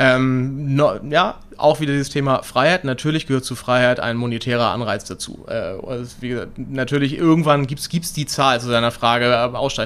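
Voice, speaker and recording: An unremarkable speaking voice moves at a moderate pace. Its pitch varies in an ordinary way. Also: man, medium pitch for a man. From Hamburg, northern Germany. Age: 30s. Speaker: entrepreneur, company director. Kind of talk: interview. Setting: in person, same room.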